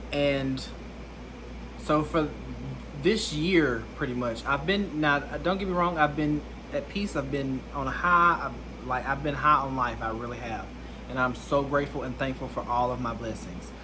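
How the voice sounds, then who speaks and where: A man with an Alabama accent at a moderate pace, with audible room echo and noticeable background noise. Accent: Southern US (Alabama). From US South, Alabama. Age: 20s. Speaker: content creator. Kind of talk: personal testimony vlog.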